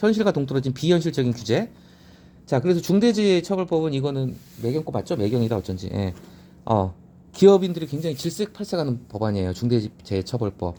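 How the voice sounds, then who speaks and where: This man's dark, mellow voice sits fairly high in pitch, swinging very widely as he talks at a fairly quick pace. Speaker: newspaper editorial commentator. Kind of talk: reading and commenting on newspaper editorials. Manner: casual explanatory, self-correcting.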